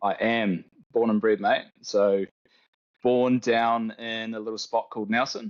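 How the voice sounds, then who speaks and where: Speaking with a New Zealand accent, a man uses a medium pitch. His delivery is fairly slow, with monotone, flat intonation. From New Zealand, Tauranga. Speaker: arborist, tree care business owner. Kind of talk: casual interview chat.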